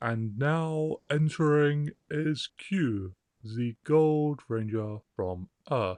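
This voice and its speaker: Putting on a booming character voice, a man speaks at a very slow pace with a fairly high pitch and lively intonation, the sound dry and close with no echo. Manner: loud, announcing.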